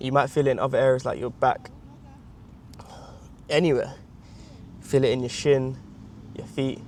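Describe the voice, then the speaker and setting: A man mumbles in a monotone, flat delivery at a moderate pace and medium pitch, leaving long, frequent pauses. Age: 20s. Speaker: vlogger. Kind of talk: exercise instruction; casual vlog talk. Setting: outdoors in a field. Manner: mumbling; quiet, not projecting.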